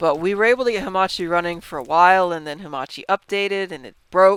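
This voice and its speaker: Someone mumbles at a fairly quick pace on a very clean recording with a silent background. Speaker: gaming youtuber. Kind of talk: gameplay commentary. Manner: halting, stumbles over words; mumbling.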